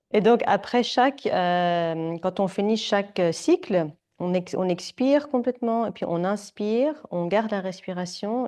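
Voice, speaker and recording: A woman speaks with a French accent in a dark, mellow tone. Her pace is fairly quick, with ordinary pitch variation. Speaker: yoga teacher. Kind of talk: live yoga class instruction. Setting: yoga studio with students. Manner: hesitant, filler-heavy.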